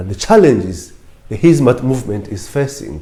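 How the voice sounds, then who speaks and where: A man with an East African accent talks at a moderate pace in a dark, mellow tone with vocal fry, his pitch swinging very widely. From Kenya, Lamu coast. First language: Swahili. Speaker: former lecturer and political official. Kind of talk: interview talk.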